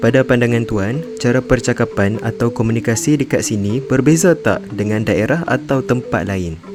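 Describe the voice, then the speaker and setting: With music in the background, a man speaks at a medium pitch with lively intonation and hardly any pauses. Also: moderate pace. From Malaysia, Kedah. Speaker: student documentary maker. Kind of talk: narration and interviewing. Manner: formal.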